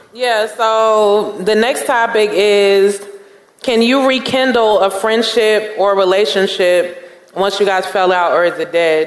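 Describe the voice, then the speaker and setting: Noticeable background noise accompanies a very slow delivery in an American accent. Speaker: podcast host. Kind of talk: live podcast show. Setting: stage with audience.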